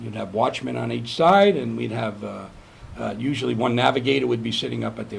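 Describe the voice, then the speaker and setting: Delivered at a fairly quick pace, the voice carries an American accent and very wide pitch swings. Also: man. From New York. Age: 70s. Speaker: navy veteran. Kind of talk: oral history interview. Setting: on board a museum ship. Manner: halting.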